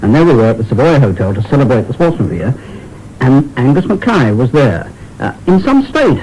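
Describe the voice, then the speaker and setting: A man speaks at a fairly quick pace with a medium pitch and very wide pitch swings. Noticeable background noise sits behind him. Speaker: sports commentator. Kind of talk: anecdotal radio interview. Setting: muffled, distant recording.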